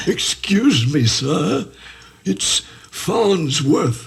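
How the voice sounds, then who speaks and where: A man puts on a character voice at a fairly high pitch. His pitch swings very widely. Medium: stage play. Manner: deferential, hesitant.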